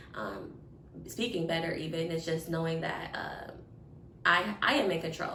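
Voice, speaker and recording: Audible room echo with noticeable background noise. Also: woman. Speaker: podcast co-host. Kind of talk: casual chat. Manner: loud.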